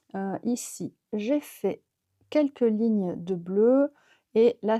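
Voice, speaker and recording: The dry, close sound with no echo carries a woman's dark, mellow tone and ordinary pitch variation. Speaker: knitting vlogger. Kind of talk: casual vlog talk. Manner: hesitant, many fillers.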